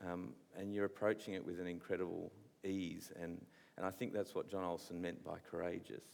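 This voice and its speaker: Speaking at a fairly quick pace, a man with an Australian accent has a very deep, low pitch and a fairly even intonation. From Australia, New South Wales. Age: young. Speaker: visual artist interviewing an author. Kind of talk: on-stage festival interview. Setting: stage with audience. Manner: halting, repeats words.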